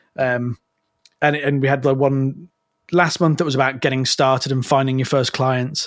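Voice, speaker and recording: A man speaks at medium pitch and a moderate pace. His intonation is flat and monotone, with very even loudness. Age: 30s. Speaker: copywriter. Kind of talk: casual chat.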